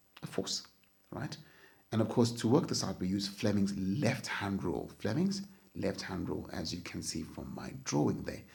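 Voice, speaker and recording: A man's somewhat breathy, fairly low voice with lively intonation, moderate pace and audible room echo. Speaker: physics teacher. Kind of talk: lecture.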